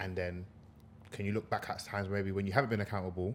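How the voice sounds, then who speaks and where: A man with a London accent talks at a very fast pace in a very deep, low pitch. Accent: London multicultural English. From UK, Congolese heritage. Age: 20s. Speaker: podcast co-host. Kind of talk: casual chat. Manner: animated.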